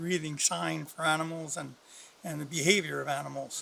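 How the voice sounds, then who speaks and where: A bright, sharp tone at a fairly quick pace. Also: man. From northern Canada. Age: 70s. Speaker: retired hunting guide. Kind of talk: outdoor tutorial. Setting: outdoors in the woods. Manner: casual, with hesitations.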